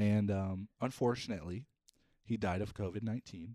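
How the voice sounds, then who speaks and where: A man with a slight Upper Midwest accent, fairly low in pitch with a dark, mellow tone, at a moderate pace in a dry, close sound with no echo. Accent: Upper Midwest American, slight. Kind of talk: casual chat. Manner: animated.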